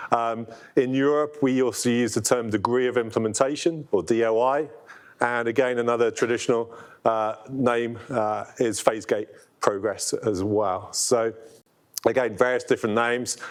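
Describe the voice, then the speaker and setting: In a London accent, a man speaks at medium pitch. His intonation is fairly even. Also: moderate pace. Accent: British (London). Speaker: product owner presenting software. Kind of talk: conference presentation. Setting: room with live audience. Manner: hesitant, many fillers.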